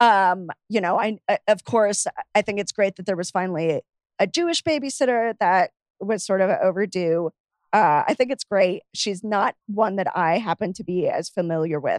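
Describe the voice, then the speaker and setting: A woman with an American accent and a plain, everyday voice speaks at a medium pitch and moderate pace with lively intonation. The sound is dry and close with no echo, over a quiet background. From US, Miami, Florida. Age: 30s. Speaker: podcast guest, pop culture enthusiast. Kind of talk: casual chat.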